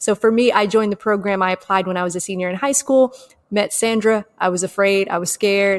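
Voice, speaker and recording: A woman with a normal speaking voice talks at a fairly quick pace in a medium pitch. The sound is dry and close, with no echo. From Atlanta, US South. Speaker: podcast co-host. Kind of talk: casual chat.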